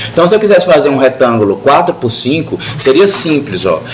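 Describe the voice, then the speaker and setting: Over noticeable background noise and audible room echo, a man talks with lively intonation. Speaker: CAD instructor. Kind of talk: classroom lecture. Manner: fast.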